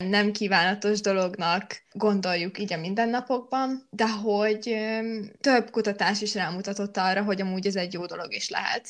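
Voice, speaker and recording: A woman's plain, everyday voice at a medium pitch, with fairly even intonation and a moderate pace. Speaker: podcast host, student. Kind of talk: casual chat podcast. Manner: chatty, laughs.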